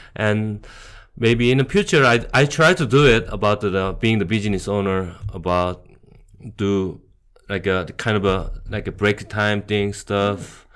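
Speaking with a Korean accent, a man keeps a fairly slow pace, a fairly low pitch and ordinary pitch variation. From South Korea, Busan. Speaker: bar owner. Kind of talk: casual interview chat. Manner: halting.

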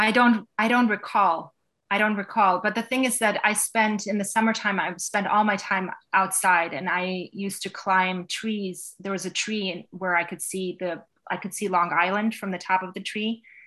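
A woman with a New York accent, a bright, sharp tone, fairly even intonation and a moderate pace over a quiet background. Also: medium pitch for a woman. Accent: American, New York area. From Westchester County, New York. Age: 40s. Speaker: Instagram business coach. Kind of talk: interview.

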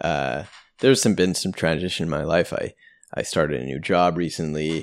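Very deep and low-pitched, a man's voice carries vocal fry on a very clean recording with a silent background. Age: 30s. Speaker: government employee and LSAT tutor. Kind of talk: casual conversation.

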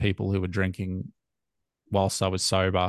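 A man with an Australian accent speaks at a fairly low pitch. The sound is dry and close with no echo, and the background is quiet. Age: 30s. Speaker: sobriety podcaster. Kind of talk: casual chat.

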